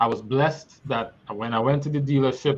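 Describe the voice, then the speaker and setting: A man's medium-pitched, somewhat breathy voice with a Trinidadian accent and ordinary pitch variation. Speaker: guest speaker. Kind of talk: personal testimony.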